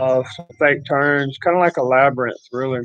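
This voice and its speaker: A man with a Texas accent speaks at a moderate pace and a fairly high pitch. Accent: rural Texas Southern. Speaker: livestreamer. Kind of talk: casual chat.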